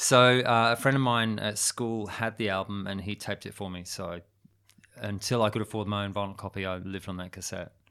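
This voice has a bright, sharp tone, fairly even intonation and a fairly quick pace. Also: man, fairly low pitch for a man. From London, England. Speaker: rock musician. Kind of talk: casual chat.

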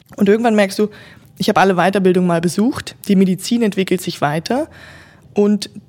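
Here is a woman with a medium pitch. She speaks at a fairly quick pace. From northern German lowlands. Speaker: hospital innovation specialist, former physiotherapist. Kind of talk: interview about her master's thesis.

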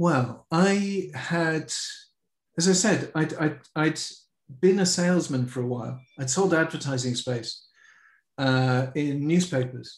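Speaking in a London accent, a man with a fairly high pitch goes at a fairly slow pace with long, frequent pauses. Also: ordinary pitch variation. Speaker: company founder. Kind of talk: interview.

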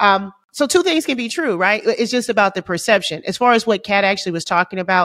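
A woman speaks at a moderate pace with a fairly high pitch and lively intonation. It is an ordinary speaking voice. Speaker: podcast co-host and comedian. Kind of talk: casual chat.

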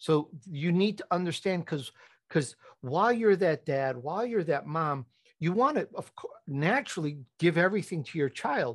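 Over a quiet background, a man speaks at a moderate pace. His pitch is high and his intonation lively. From Chicago, raised by Italian immigrant family. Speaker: podcast host and entrepreneur. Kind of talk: interview conversation.

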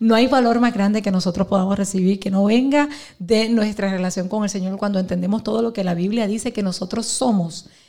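A woman's somewhat breathy voice at medium pitch, dark and mellow in tone, with fairly even intonation and a fairly quick pace. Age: 40s. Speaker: pastor and businesswoman. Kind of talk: live podcast interview. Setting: live event with audience.

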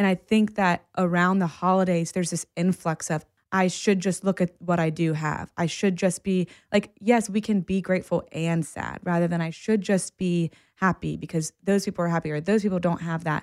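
The speaker talks at a moderate pace in a flat, monotone delivery. The sound is dry and close with no echo, on a very clean recording over a silent background. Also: woman, fairly low pitch for a woman. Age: 30s. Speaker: licensed therapist. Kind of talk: casual chat.

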